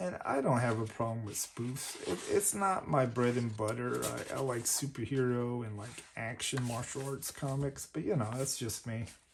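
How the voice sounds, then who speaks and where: A man speaks at a medium pitch with ordinary pitch variation and a moderate pace, hardly pausing at all. Noticeable background noise runs under the recording. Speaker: comic collector YouTuber. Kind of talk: unboxing commentary.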